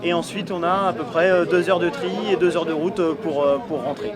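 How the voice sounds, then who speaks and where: A man's high voice at a very fast pace, with ordinary pitch variation, audible room echo and noticeable background noise. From Brittany, Saint-Brieuc bay. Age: 30s. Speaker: fisherman, deckhand. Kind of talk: interview testimony. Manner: hesitant, many fillers.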